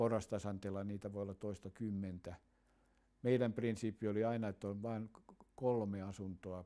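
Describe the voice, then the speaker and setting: The voice belongs to a man with a dark, mellow tone. His intonation is monotone and flat. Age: 80s+. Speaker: architect. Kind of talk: documentary interview answer.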